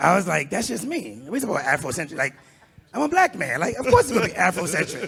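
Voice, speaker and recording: Very wide pitch swings come at a fairly quick pace over noticeable background noise. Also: man. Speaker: corporate leader, panel guest. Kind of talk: panel discussion. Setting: live event with audience.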